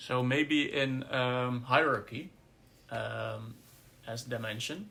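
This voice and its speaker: Speaking very slowly in a Dutch accent, a man has a medium pitch with ordinary pitch variation. His tone is bright and sharp. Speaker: podcast co-host. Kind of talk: casual discussion. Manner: halting.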